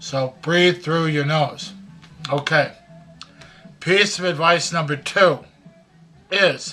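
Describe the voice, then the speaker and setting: A man's high-pitched voice at a very slow pace, over music in the background. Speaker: grandfather. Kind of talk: casual advice talk to camera. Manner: folksy, conversational.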